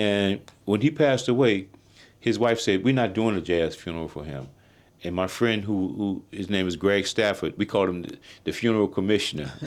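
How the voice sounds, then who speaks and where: Recorded very cleanly against a silent background, a man with a New Orleans accent speaks at a fairly low pitch and a fairly quick pace with ordinary pitch variation. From New Orleans, US South. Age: 60s. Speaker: jazz drummer. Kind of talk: interview.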